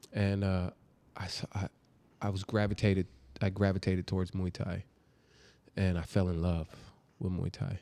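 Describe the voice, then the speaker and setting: A man speaks with a very deep, low pitch and a dark, mellow tone. His intonation is monotone and flat, with long, frequent pauses. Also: moderate pace. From California (born in New Jersey). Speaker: martial arts instructor and educator. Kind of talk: casual interview.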